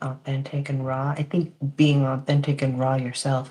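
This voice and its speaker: A soft-spoken woman with a very deep, low pitch, monotone, flat intonation and a moderate pace. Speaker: reiki practitioner, podcast co-host. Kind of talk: casual podcast chat. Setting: live stream.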